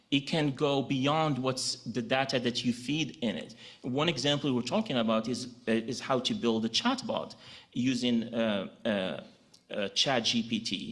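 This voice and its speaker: A man with a Moroccan accent speaks at medium pitch with ordinary pitch variation. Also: fairly slow pace. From Morocco. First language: Moroccan Arabic. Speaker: legal technology director. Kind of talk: conference presentation.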